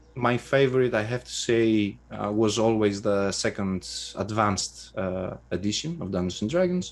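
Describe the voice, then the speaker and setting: A man speaks in a Greek accent. His pace is fairly slow. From Greece. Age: 30s. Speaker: game designer and writer. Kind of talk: interview. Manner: halting, many fillers.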